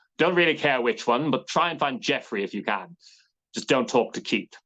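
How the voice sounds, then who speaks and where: A man's put-on character voice, fairly high-pitched. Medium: read story.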